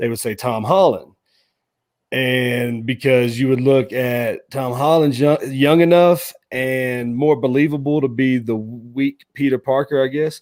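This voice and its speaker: With an American accent, a man speaks fairly slowly in an unremarkable speaking voice, medium in pitch with fairly even intonation. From US South, Nashville Tennessee. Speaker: podcast host. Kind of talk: casual interview chat.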